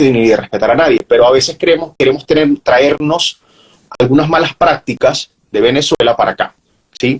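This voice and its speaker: In a dry, close recording with no echo, a man with an unremarkable speaking voice talks at a moderate pace in a fairly high pitch, with ordinary pitch variation. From Venezuela. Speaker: journalist, professional announcer, university lecturer. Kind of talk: interview answer.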